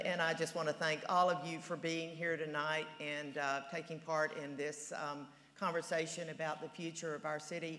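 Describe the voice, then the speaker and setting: A woman with a fairly low pitch uses a plain, everyday voice, fairly even intonation and a moderate pace. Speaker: candidate. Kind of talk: debate opening statement. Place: stage. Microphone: lapel.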